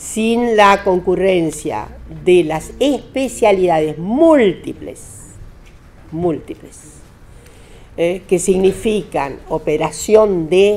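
Music can be heard behind the voice. A woman is talking very slowly. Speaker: speaker. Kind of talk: lecture. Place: meeting room. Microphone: podium.

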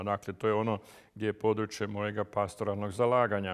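There is a male voice. Nothing else can be heard behind it. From Croatia. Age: 70s. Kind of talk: interview. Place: home room.

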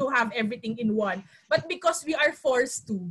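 A raised, projected voice with a bright, sharp tone and lively intonation moves at a moderate pace over light background noise. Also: woman. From Philippines, Metro Manila. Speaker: youth council president. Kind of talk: panel discussion. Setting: video call. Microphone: earbuds.

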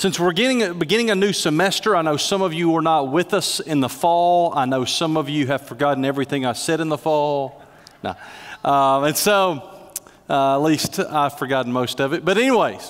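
Speaking at a moderate pace, a man keeps his loudness very even and his pitch variation ordinary, over a quiet background. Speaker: pastor. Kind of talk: sermon. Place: church. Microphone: headset.

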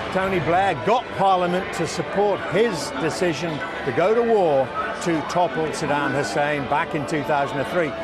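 Loud background noise runs under the recording. A man speaks at a fairly slow pace with ordinary pitch variation. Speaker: TV news reporter. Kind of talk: live news report to camera. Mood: serious, measured. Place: street.

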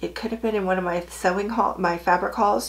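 A woman speaks very fast at a medium pitch. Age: 60s. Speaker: sewing YouTuber. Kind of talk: casual chat. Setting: home sewing room. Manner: animated. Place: home room.

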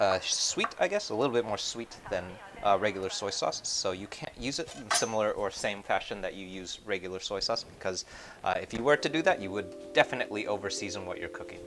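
Clear music sits in the background as a man talks at a fairly quick pace with ordinary pitch variation. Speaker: cooking streamer. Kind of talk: tutorial. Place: kitchen.

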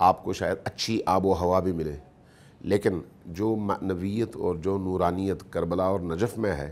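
A man speaks with fairly even intonation. His pitch is very deep and low. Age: 50s. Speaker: Shia religious scholar; guest. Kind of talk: interview. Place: studio.

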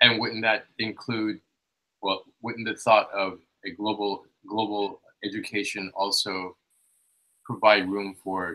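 Speaking at a very slow pace with long, frequent pauses, a man uses a fairly low pitch, a bright, sharp tone and fairly even intonation. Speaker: seminar participant. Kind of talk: audience question. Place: home room.

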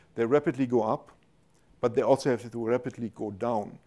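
The speaker has a German accent and a dark, mellow tone. The pace is fairly quick and the intonation fairly even. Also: man. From Germany. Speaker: university professor, molecular biochemist. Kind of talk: scientific lecture with Q&A. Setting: lecture hall with audience. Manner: informal, humorous. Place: hall.

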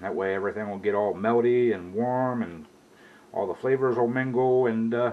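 Moderate pacing from a male speaker. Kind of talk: casual cooking tutorial. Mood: relaxed, easygoing. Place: kitchen. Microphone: camera far.

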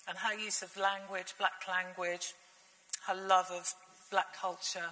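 A woman with a British accent and flat, monotone intonation. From England. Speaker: literature lecturer and writer. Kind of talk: panel discussion. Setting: stage with audience. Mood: reflective, heartfelt. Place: hall.

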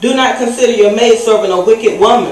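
A woman speaks with audible room echo. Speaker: speaker. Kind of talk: scripture reading in a sermon. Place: church.

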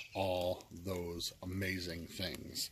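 A man is speaking. The sound is dry with no echo, though background noise is noticeable. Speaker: game reviewer. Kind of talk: casual vlog chat. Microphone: phone near.

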